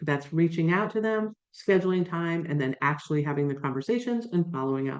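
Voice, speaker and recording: An unremarkable speaking voice at a fairly quick pace, with ordinary pitch variation. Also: woman. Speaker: career coach and job search expert. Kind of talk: webinar presentation. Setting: video call.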